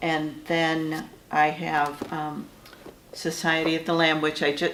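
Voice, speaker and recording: A woman with an American accent speaks at a very slow pace in a very deep, low voice with flat, monotone intonation, with noticeable background noise and audible room echo. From Michigan. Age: 60s. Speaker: author. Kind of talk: interview. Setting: writers' conference. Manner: halting.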